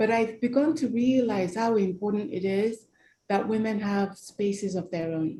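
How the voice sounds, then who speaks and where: A woman speaks at a medium pitch with a dark, mellow tone. Her delivery is fairly slow and somewhat breathy. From Nigeria. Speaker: human rights campaigner. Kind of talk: interview.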